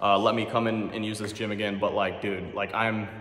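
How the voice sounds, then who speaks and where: A man's fairly low-pitched voice amid noticeable background noise and audible room echo. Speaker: fitness YouTuber. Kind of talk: gym workout vlog. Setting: gym at midnight. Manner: fast; animated.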